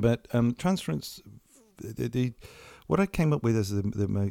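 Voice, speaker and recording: A man talks with ordinary pitch variation. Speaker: psychiatrist and author. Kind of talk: casual chat. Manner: hesitant, halting.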